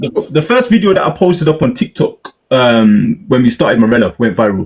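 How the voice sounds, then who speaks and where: A man with a British accent speaks at a fairly high pitch, his voice swinging very widely and dipping into vocal fry. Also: fairly quick pace, very even loudness. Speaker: media interviewer and content creator. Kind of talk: casual chat. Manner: animated.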